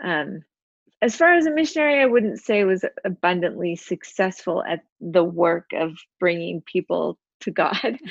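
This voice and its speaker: Delivered in an ordinary speaking voice with an American accent, the speech has lively intonation, a fairly slow pace and a dry, close sound with no echo. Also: woman, medium pitch for a woman. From Utah. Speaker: craft business owner and suicide prevention advocate. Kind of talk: personal testimony interview.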